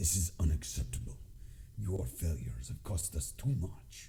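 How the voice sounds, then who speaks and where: A gruff, put-on character voice speaks at a moderate pace. Background noise is clearly heard. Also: man, very deep, low pitch for a man. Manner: angry, scolding.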